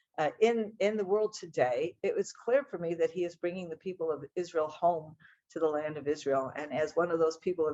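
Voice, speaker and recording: A woman with an American accent and a plain, everyday voice talks at a fairly quick pace, her fairly low pitch showing ordinary pitch variation. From United States. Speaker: speaker on Israel and the Bible. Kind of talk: talk to an audience. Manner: conversational, with fillers.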